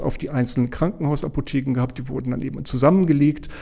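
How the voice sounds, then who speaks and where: Speaking in an ordinary speaking voice, a man keeps a medium pitch and fairly even intonation. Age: 60s. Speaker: hospital pharmacy director. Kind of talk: interview.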